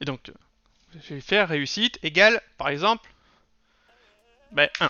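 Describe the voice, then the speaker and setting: This man speaks at a very slow pace. His voice is high-pitched, with lively intonation. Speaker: programming tutor. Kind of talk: tutorial.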